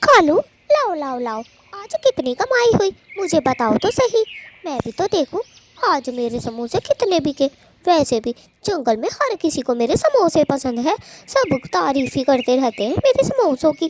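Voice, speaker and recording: A female-sounding cartoonish character voice is pitched high for a woman, with very wide pitch swings. The pace is moderate. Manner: sharp, scolding.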